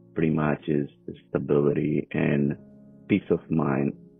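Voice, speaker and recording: Very deep, low man's voice with a non-native accent, monotone and flat, at a very slow pace with music in the background. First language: not English. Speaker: immigrant interviewee. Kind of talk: interview answers. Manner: halting.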